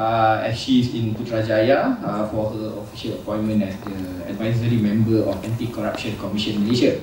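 A man talks at a fairly quick pace in a monotone, flat intonation. Audible room echo and light background noise are present. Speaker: event host giving opening remarks. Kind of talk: formal welcome speech. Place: hall.

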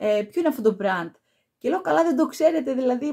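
At a moderate pace, a woman speaks with a high pitch and very wide pitch swings over a quiet background. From Greece. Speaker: perfume YouTuber; perfume reviewer. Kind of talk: product review vlog. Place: home room.

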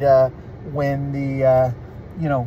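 A man at a very slow pace, with a dry sound free of echo and light background noise. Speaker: vlogger. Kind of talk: casual vlog chat. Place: car. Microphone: phone near.

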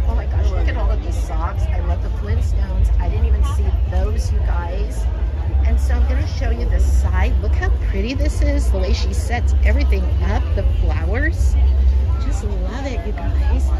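A woman talks at a moderate pace. Clear music plays behind her, and the sound is dry with no echo. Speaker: vlogger. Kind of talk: casual vlog chat. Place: market. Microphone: phone near.

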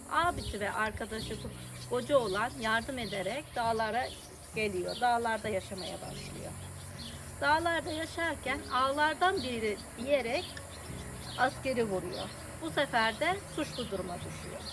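Over noticeable background noise, a woman talks at a fairly slow pace with long, frequent pauses. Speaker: local storyteller. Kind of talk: interview answer. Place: street.

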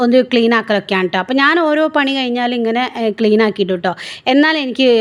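An ordinary speaking voice comes from a woman with a fairly high pitch and ordinary pitch variation. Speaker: vlogger. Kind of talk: vlog narration. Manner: casual, chatty.

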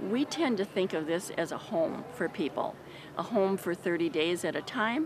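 A woman with an American accent, lively intonation and a fairly slow pace, in a dry recording with no echo and noticeable background noise. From Wisconsin. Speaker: homeless shelter staff. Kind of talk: interview. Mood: calm, warm. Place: street.

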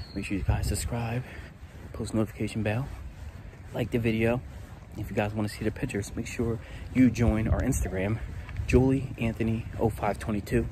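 Fairly even intonation with long, frequent pauses, in a dry sound with no echo and noticeable background noise. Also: man, moderate pace. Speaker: family vlogger. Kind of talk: casual vlog chat. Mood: playful, joking. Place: open country. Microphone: phone near.

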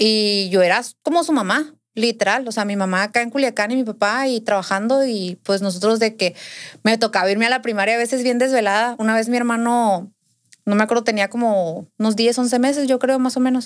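Over a quiet background, a woman talks at a fairly quick pace in a fairly high pitch with ordinary pitch variation. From Sinaloa, Mexico (Navolato); Sinaloa, Mexico. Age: 20s. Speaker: podcast guest. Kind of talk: casual interview, personal story. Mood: earnest, recounting painful family story. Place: studio. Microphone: studio mic.

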